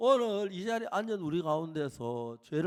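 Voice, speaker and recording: Pitch swings very widely in this man's high voice. He speaks at a fairly slow pace. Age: 80s+. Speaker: pastor. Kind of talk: sermon.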